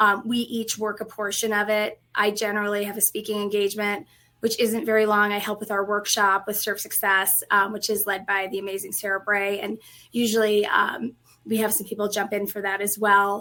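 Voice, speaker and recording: With a slight Colorado accent, a woman speaks at a fairly quick pace in a bright, sharp tone and monotone, flat intonation, in a very clean recording with a silent background. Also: medium pitch for a woman. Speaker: restaurant industry training executive. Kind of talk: interview.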